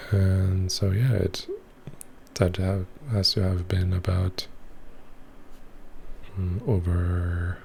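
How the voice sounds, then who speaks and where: Soft-spoken and somewhat breathy, a man talks very slowly with long, frequent pauses in a very deep, low voice with a dark, mellow tone and monotone, flat intonation. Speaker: ASMR creator. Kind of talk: voiceover recorded after filming.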